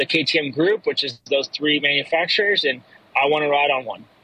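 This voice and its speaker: With noticeable background noise, a man speaks at a fairly high pitch in a dry, close sound with no echo. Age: 30s. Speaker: professional motocross racer. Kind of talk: casual interview. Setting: phone call from a car.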